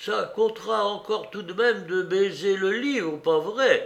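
Someone performs a put-on character voice with vocal fry and a fairly bright tone. The pace is fairly slow, pitch varies in an ordinary way, and room echo is audible. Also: man, high pitch for a man.

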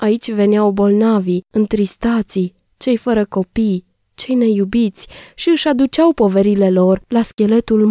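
Plain reading aloud is heard against a quiet background.

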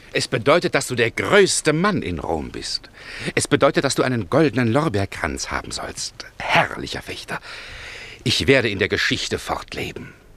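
A man's put-on character voice at medium pitch, fairly bright in tone, with vocal fry, very wide pitch swings and a moderate pace

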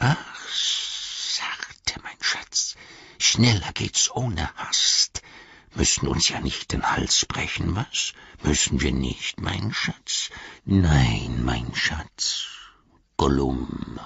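A put-on character voice, hissing, at a very slow pace. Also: man, very deep, low pitch for a man. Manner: fawning, self-muttering.

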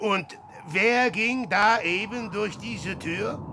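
In a put-on character voice, a man talks slowly at a high pitch with a bright, sharp tone and ordinary pitch variation.

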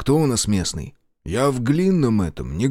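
Someone reads in a natural reading voice against a quiet background.

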